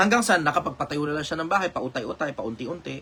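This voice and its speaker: A man rushes along at a very fast pace while noticeable noise fills the background. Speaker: online commentator answering questions. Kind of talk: casual live stream talk. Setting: live stream.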